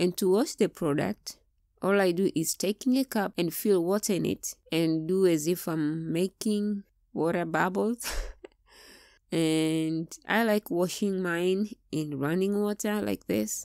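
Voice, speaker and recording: Spoken in a Tanzanian accent, the voice has a dark, mellow tone, ordinary pitch variation and a fairly slow pace. The recording is very clean, with a silent background. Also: woman, fairly low pitch for a woman, dry, close sound with no echo. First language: Swahili. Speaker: product reviewer, Swahili teacher. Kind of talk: product review tutorial.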